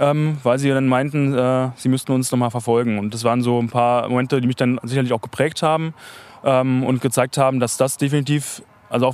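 Delivery is very fast, with monotone, flat intonation. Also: man. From East Berlin (Hellersdorf). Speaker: spokesperson of a local civic alliance. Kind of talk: interview. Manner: hesitant, many fillers.

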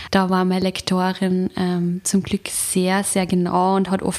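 A woman with an Upper Austrian accent talks at a medium pitch against noticeable background noise. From Upper Austria, rural. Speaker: novelist and journalist. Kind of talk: interview.

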